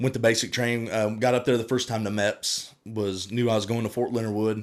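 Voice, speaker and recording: A man with a Southern accent, medium pitch, monotone, flat intonation and a fairly quick pace, on a very clean recording with a silent background. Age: 30s. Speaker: firefighter and army veteran. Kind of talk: casual interview chat. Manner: halting.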